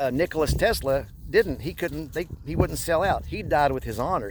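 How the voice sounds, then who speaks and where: A man speaks at a moderate pace while noticeable background noise is present. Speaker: spiritual vlogger. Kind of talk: casual monologue vlog while walking. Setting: outdoors in snow by a pond. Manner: halting speech from past strokes; hesitant, many fillers and restarts.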